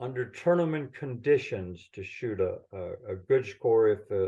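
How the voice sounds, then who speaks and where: A man's dark, mellow, somewhat breathy voice at medium pitch, with lively intonation at a very slow pace over a quiet background. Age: 70s. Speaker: golf professional and caddie. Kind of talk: casual chat.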